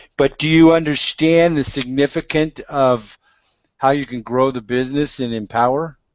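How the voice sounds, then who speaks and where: A man with fairly even intonation speaks in an ordinary speaking voice. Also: fairly high pitch for a man, moderate pace. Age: 60s. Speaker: internet marketing blogger. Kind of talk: casual chat.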